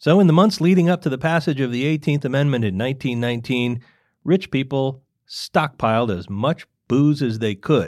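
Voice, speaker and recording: In a very clean recording with a silent background, a man with a plain, everyday voice speaks at a fairly high pitch and a moderate pace, his intonation lively. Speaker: podcast host. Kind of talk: true-crime narration, scripted historical storytelling. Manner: wry, conversational, lightly amused storyteller.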